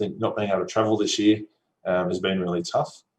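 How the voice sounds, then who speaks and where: This man speaks with an Australian accent. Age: 30s. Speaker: solar company executive. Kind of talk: conference talk. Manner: casual, with frequent fillers.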